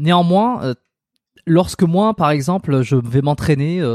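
On a very clean recording with a silent background, a man's dark, mellow voice carries lively intonation, the sound dry and close with no echo. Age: 30s. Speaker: osteopath and podcast host. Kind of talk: casual interview chat.

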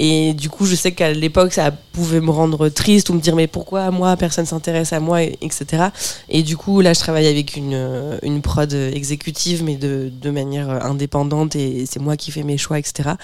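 With noticeable background noise behind her, a woman speaks at a moderate pace. Her pitch is very deep and low, and her intonation fairly even. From Normandy, France (Bernay). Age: 30s. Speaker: stand-up comedian. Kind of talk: casual chat.

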